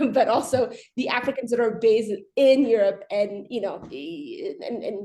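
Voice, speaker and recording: A woman's fairly high, dark and mellow voice with lively intonation, in an American accent. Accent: very American. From Ethiopia. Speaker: arbitration lawyer. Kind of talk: panel discussion. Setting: video call webinar. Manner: halting, many repetitions.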